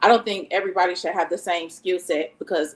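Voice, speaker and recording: A woman's normal speaking voice at a medium pitch and a fairly quick pace. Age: 30s. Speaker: school educator. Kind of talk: panel discussion.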